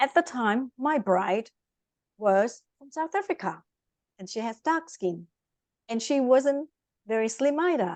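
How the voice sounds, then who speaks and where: Speaking with a Vietnamese accent, a woman uses a high pitch and very wide pitch swings at a fairly slow pace, with long, frequent pauses. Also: big swings in loudness, dry, close sound with no echo. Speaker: life coach. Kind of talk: interview. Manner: animated.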